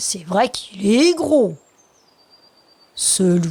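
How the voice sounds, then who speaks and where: A woman's put-on character voice at medium pitch, very slow, with very wide pitch swings. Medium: read story. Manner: self-assured yet hesitant.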